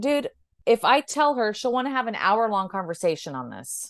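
A woman with a normal speaking voice talks at a moderate pace. Her pitch is fairly high, and her intonation is lively. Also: quiet background. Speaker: breathwork teacher. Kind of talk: casual chat.

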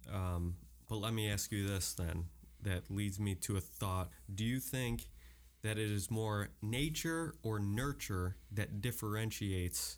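This man has an ordinary speaking voice, fairly low in pitch, with lively intonation and very even loudness. He goes at a fairly slow pace on a very clean recording with a silent background. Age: 30s. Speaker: podcast host. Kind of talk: casual chat.

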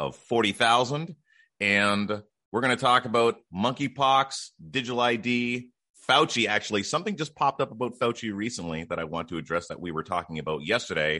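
Against a quiet background, a man with vocal fry and a bright, sharp tone speaks with lively intonation. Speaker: podcast host. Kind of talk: casual chat.

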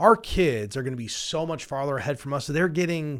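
A normal speaking voice at a moderate pace with lively intonation, on a very clean recording with a silent background. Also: man. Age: 40s. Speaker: financial advisor, radio show host. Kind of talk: casual chat about personal finance. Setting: studio.

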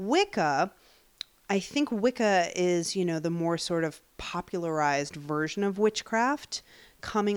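With an American accent and a plain, everyday voice, a woman speaks at a moderate pace with ordinary pitch variation in a very clean recording with a silent background. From US Northeast, Long Island, New York. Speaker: witch and tarot reader. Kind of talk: casual interview.

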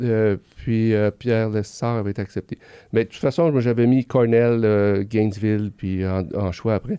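A man of medium pitch speaks at a fairly slow pace with a dark, mellow tone and fairly even intonation, the sound dry and close with no echo over a quiet background. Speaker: veterinarian. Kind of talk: interview.

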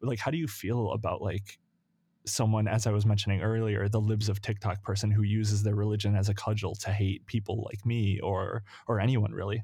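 On a very clean recording with a silent background, a man talks at a fairly quick pace in a fairly low pitch, his dark, mellow, somewhat breathy voice held to a monotone, flat intonation. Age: 20s. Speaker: podcast co-host. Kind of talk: casual chat.

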